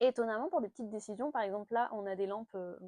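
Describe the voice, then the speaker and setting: Dark, mellow tone at a fairly quick pace, with dry, close sound and no echo. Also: woman. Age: 30s. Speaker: lifestyle vlogger. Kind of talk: casual chat. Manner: hesitant, many fillers.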